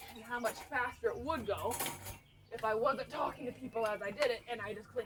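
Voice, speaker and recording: Mumbling at a fairly quick pace, a woman with a high pitch keeps fairly even intonation but shows big swings in loudness, with noticeable background noise behind her. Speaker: rabbit breeder. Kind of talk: casual vlog while working. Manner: mumbling, volume up and down; rambling, casual.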